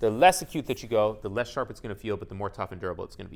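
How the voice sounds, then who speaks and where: This man talks at a very fast pace. His pitch swings very widely. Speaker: knife sharpening instructor. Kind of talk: tutorial.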